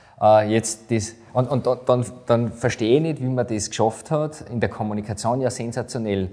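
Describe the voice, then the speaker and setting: At a moderate pace, a man talks in a medium pitch with a dark, mellow tone. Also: fairly even intonation. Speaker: podcast host. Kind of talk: podcast interview.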